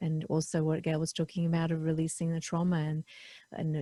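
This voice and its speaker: Speaking at a fairly quick pace, a woman has a very deep, low pitch and a somewhat breathy, dark, mellow tone. Her intonation is monotone and flat, and the sound is dry and close with no echo. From England. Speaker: podcast host. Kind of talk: casual interview chat. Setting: video call.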